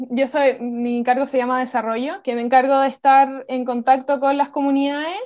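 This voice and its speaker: A woman's high voice in a Chilean accent at a moderate pace. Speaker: university student. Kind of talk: testimony.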